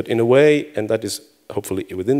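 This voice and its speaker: A man with an Israeli accent and medium pitch in a very clean recording with a silent background. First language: Hebrew. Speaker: conference speaker. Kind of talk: conference talk. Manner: halting.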